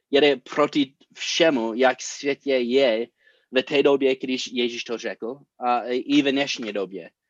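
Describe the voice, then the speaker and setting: A man with an English accent at a very slow pace and medium pitch, ordinary pitch variation, in a dry, close sound with no echo over a quiet background. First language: English (speaking Czech). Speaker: pastor. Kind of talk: sermon. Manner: halting.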